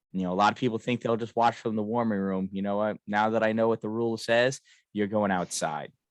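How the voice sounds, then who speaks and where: A man with an American accent talks at a very fast pace in a fairly low voice with fairly even intonation. The sound is dry and close with no echo, and the background is quiet. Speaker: hockey game announcer and podcast co-host. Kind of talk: casual chat. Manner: loud.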